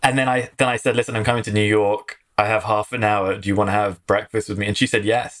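A man with an English accent, speaking at a very fast pace with hardly any pauses, in a monotone, flat intonation. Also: fairly low pitch for a man. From London, England. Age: 30s. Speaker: marketing executive. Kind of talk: casual interview.

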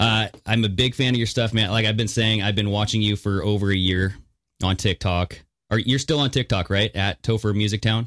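A man with a fairly low pitch talks at a fairly quick pace, with fairly even intonation and very even loudness, in an unremarkable speaking voice. The recording is very clean and the background silent. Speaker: podcast co-host. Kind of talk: casual chat.

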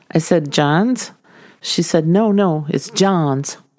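A dark, mellow tone with a slight Minnesota accent in a very clean recording with a silent background. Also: woman. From US Minnesota. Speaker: podcast host. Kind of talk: casual storytelling.

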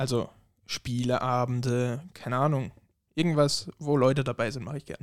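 Recorded with a dry, close sound and no echo, a man in a normal speaking voice talks at a moderate pace with medium pitch and fairly even intonation. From Germany. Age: 20s. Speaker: podcast guest. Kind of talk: casual chat.

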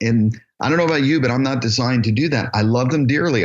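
A man speaks with a normal speaking voice at medium pitch, with ordinary pitch variation. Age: 50s. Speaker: assisted living business founder and educator. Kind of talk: interview.

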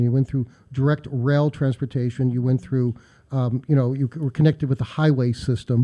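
At a fairly quick pace, a man with an American accent speaks in an unremarkable speaking voice. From US, Pittsburgh. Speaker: local historian. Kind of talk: radio interview.

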